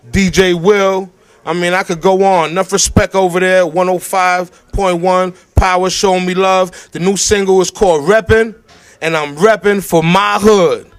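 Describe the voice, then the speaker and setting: With music in the background, a man speaks at a moderate pace in a high pitch. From New York, the Bronx. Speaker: rapper. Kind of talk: interview. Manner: animated.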